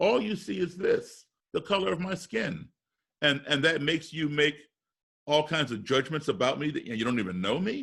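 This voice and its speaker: A man with an American accent speaks at a moderate pace in a fairly high pitch, with vocal fry and very wide pitch swings. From US, raised partly abroad as embassy kid. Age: 60s. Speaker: musician and race relations speaker. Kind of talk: interview.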